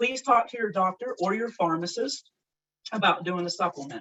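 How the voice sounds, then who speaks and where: Fairly high-pitched woman with an unremarkable speaking voice and lively intonation. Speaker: health presenter. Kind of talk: presentation.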